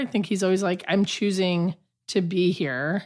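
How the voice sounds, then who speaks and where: With an American accent, a woman speaks at medium pitch and a moderate pace in an unremarkable speaking voice against a quiet background. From US Southwest, Albuquerque, New Mexico. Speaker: improv and sketch comedian. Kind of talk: casual chat. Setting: home studio in a basement.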